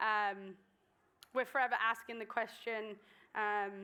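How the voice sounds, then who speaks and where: A woman with an English accent speaks in a fairly high pitch with a bright, sharp tone. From southern England, Swindon. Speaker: guest speaker. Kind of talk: sermon. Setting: church stage with audience. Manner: hesitant, many ums.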